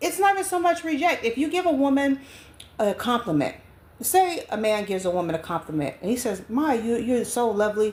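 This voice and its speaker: At a fairly quick pace, a woman with a high pitch speaks in very wide pitch swings amid noticeable background noise. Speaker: online spiritual advisor and vlogger. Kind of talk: casual monologue vlog. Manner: loud, stern.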